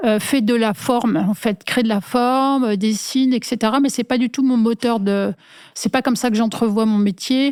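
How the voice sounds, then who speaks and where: At a moderate pace, a woman with a fairly high pitch keeps very even loudness and fairly even intonation in a dry, close sound with no echo. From rural France, small village. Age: 60s. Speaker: industrial designer. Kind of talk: interview. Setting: at home. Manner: hesitant, many fillers.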